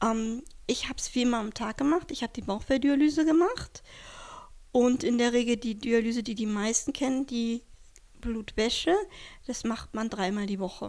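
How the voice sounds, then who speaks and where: The speech moves at a moderate pace with ordinary pitch variation. Long, frequent pauses break it up. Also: woman, fairly high pitch for a woman. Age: 40s. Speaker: kidney transplant recipient. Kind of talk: interview.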